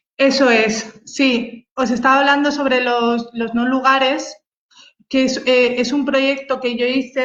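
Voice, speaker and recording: A very slow woman's voice, high-pitched, with a Spanish accent. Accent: Peninsular Spanish. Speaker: photographer. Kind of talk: online talk presenting her photography. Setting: video call livestream. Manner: halting, many fillers and repetitions.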